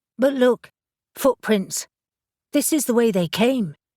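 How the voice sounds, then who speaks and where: Doing a raspy put-on character voice, a high-pitched woman speaks at a fairly slow pace with lively intonation, the sound dry and close with no echo. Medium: read story. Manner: eager, insistent.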